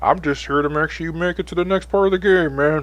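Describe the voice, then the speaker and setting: Putting on a character voice, a man rattles along at a very fast pace with a fairly high pitch. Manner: casual.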